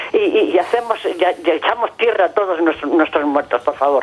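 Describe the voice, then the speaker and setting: A woman speaks at a fairly quick pace. Her pitch is fairly low, with noticeable background noise around her. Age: 80s+. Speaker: caller. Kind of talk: call-in to TV debate show. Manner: halting, hesitant.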